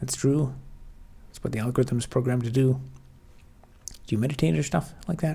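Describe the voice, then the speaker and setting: A soft-spoken man talks at a fairly quick pace and medium pitch, with a somewhat breathy, dark, mellow tone. His loudness swings widely, and his pauses are long and frequent. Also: ordinary pitch variation. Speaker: software developer streamer. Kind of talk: live stream chat.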